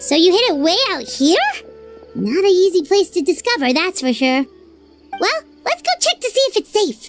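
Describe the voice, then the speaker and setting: A put-on character voice, squeaky and extremely high in pitch, plays over faint background music. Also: moderate pace. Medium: machinima. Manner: quick, excitable.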